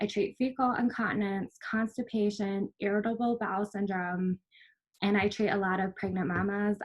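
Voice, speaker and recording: A woman with a slight Minnesotan accent speaks at a medium pitch, somewhat breathy, with fairly even intonation. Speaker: physical therapist. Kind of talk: workshop presentation.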